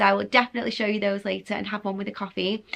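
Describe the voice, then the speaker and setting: Against a quiet background, a woman talks in an English accent. Her fairly high voice has a bright, sharp tone. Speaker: lifestyle vlogger. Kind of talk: casual vlog talk.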